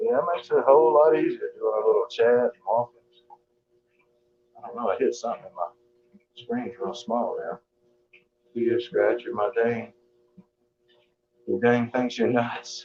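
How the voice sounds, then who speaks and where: In a Southern US accent, the speaker talks at a moderate pace with big swings in loudness and long, frequent pauses. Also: man. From US South, Georgia. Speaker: live streamer. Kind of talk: casual chat. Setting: live stream while walking on treadmill.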